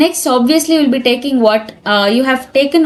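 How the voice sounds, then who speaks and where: A woman's high-pitched, fairly quick speech with ordinary pitch variation, over noticeable background noise. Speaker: programming tutor. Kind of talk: tutorial. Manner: fast.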